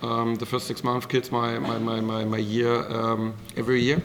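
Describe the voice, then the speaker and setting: Over noticeable background noise, a man with a German accent talks at a fairly quick pace and medium pitch. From Germany. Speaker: professional darts player. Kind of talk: post-match press interview. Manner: halting, many fillers.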